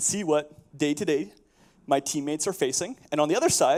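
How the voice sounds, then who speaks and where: A man with a Canadian accent speaks at a fairly high pitch, his intonation lively. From Canada (prairies). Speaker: software architect and conference speaker. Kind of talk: conference talk. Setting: stage with audience. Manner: casual with frequent fillers.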